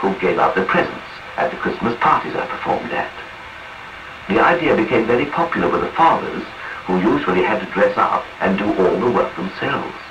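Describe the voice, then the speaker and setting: A man's voice with very wide pitch swings at a fairly quick pace, over noticeable background noise. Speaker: radio narrator. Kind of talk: radio autobiography reading.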